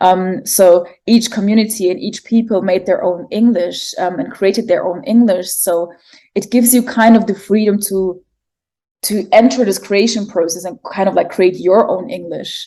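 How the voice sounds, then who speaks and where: A woman with a German accent at a moderate pace. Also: medium pitch for a woman, fairly even intonation. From Germany, Egyptian family. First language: German and Arabic. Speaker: poet and artist. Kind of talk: interview conversation. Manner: hesitant, many fillers.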